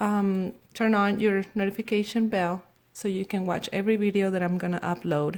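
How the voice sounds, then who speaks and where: A woman with a Spanish accent speaks at a moderate pace in a medium pitch. The recording is very clean, with a silent background. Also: fairly even intonation. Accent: Spanish accent, noticeable. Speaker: nail technician. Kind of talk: tutorial. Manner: halting, with fillers.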